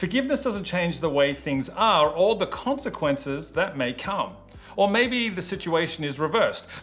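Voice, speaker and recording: With audible room echo, a man in an Australian accent speaks at a moderate pace in a high voice with very wide pitch swings. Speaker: youth pastor. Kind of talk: sermon.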